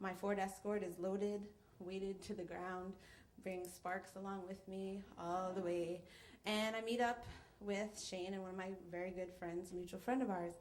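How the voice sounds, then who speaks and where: Over noticeable background noise, a woman with an American accent speaks at medium pitch and a moderate pace in a monotone, flat intonation. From New York. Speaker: storyteller. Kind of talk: live storytelling performance. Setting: live stage with audience.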